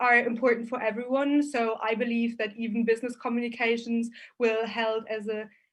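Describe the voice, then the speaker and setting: Against a quiet background, a woman with a German accent speaks at a moderate pace and a fairly high pitch. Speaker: business student. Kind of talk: student conference Q&A.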